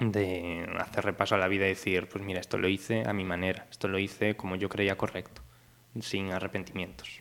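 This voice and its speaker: At a fairly quick pace, a man talks in a very deep, low voice with monotone, flat intonation. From Galicia, Spain (Pontevedra). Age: 20s. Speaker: singer-songwriter. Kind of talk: casual interview.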